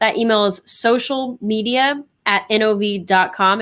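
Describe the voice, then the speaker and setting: A woman's fairly high voice with ordinary pitch variation on a very clean recording with a silent background. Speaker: co-host of company live show. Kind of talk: live show segment hosting. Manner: fast.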